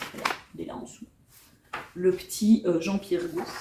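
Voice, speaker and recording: A woman speaks with a Belgian accent. Noticeable background noise runs underneath. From Belgium. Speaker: book vlogger. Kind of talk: casual vlog chat with reading aloud. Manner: hesitant, many fillers.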